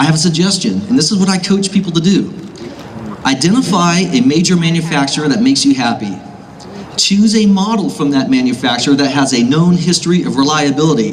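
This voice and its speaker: Over noticeable background noise and audible room echo, a man with an American accent talks very fast in a high pitch, his intonation lively and his loudness very even. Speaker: gun shop owner. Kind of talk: rally speech.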